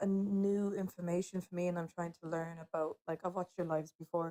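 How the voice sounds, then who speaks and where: In an Irish accent, a woman talks at medium pitch with fairly even intonation. Her tone is dark and mellow, and the sound is dry and close with no echo. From Ireland. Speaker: TikTok live participant. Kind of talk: casual discussion. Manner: hesitant, many fillers.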